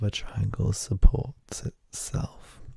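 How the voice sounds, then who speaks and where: Whispering very slowly, a man is soft-spoken and somewhat breathy. The sound is dry with no echo, and the background is quiet. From UK. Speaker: ASMR creator. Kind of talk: casual talk to camera, ASMR show and tell. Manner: soft-spoken, whispering. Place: home room. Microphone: handheld.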